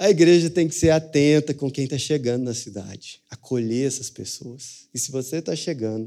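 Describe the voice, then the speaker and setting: A man with a dark, mellow tone and medium pitch speaks at a moderate pace with ordinary pitch variation, on a very clean recording with a silent background. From Brazil, Franca (São Paulo state). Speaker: pastor. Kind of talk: sermon.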